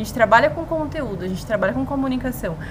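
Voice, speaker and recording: A woman's fairly high voice with lively intonation, over noticeable background noise. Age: 30s. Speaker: podcast co-host, journalist. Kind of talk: casual chat.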